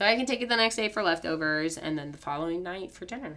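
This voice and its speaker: A woman with a plain, everyday voice speaks at medium pitch with lively intonation. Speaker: elementary school PE teacher. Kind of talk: casual chat.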